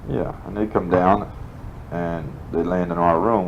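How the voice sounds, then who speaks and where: Noticeable background noise sits behind this recording. A man with an American accent speaks at a moderate pace in a very deep, low pitch. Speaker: war veteran. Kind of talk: interview answer. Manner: casual, rambling.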